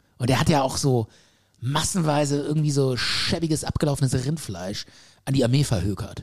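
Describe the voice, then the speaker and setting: A man speaks in an animated tone that is somewhat breathy. His loudness stays very even, with ordinary pitch variation. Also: moderate pace. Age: middle-aged. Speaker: podcast co-host. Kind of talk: casual chat.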